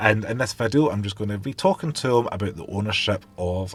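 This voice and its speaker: Over music in the background, a man with a Scottish accent speaks at a moderate pace, his fairly low pitch showing ordinary pitch variation. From west of Scotland. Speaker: car video host. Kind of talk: interview. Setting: inside a car.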